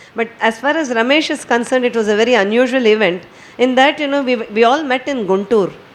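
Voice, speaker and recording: A woman talks at a very fast pace. Her pitch is high, and there is noticeable background noise. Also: ordinary pitch variation. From India (Maharashtra). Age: 60s. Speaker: poet and retired banker. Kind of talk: talk at a poetry gathering.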